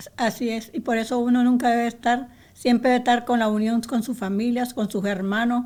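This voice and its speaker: A woman at a moderate pace. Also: very clean recording, silent background. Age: 80s+. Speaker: interviewee grandmother. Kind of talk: casual interview chat. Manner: halting.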